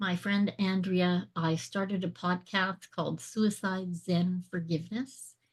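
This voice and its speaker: Speaking with hardly any pauses and very even loudness, a woman sounds somewhat breathy and uses a monotone, flat intonation. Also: medium pitch for a woman, fairly slow pace. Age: 60s. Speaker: transformational speaker and author. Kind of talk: interview testimony. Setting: podcast interview.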